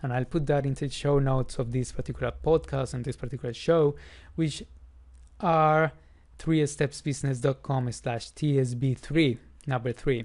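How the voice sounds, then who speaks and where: The speaker has a non-native accent and a fairly even intonation. The pace is moderate, and the background is quiet. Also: man. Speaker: podcast host. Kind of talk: solo educational podcast. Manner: informal, conversational.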